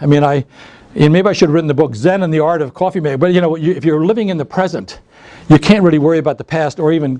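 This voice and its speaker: A man with an American accent, dark and mellow in tone, fairly high in pitch, with ordinary pitch variation. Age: 60s. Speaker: author. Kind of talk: author talk. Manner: halting, with frequent restarts.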